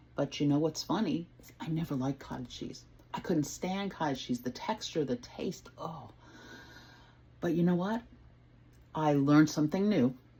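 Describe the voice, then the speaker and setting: A woman speaks at a moderate pace with long, frequent pauses, her very deep, low pitch lifted by lively intonation. Her tone is dark and mellow and somewhat breathy. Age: 60s. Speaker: home cook and weight-loss vlogger. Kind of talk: casual talk to camera, cooking demo. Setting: home kitchen. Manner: friendly, conversational, unrehearsed.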